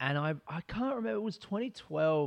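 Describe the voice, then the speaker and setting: The voice belongs to a man. His accent is Australian. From Australia, Adelaide. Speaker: comedian. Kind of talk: casual chat.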